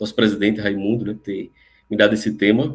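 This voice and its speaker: A fairly low male voice at a fairly quick pace. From Recife, northeast Brazil. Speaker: lecturer on spirituality. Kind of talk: lecture. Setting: live online stream.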